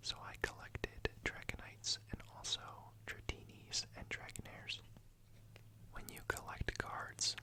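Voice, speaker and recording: Someone whispers in a calm tone at a fairly slow pace. There is noticeable background noise. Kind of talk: ASMR whispered talk about a card collection. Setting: studio, close microphone with card and page sounds. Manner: whispered, soft-spoken, calm.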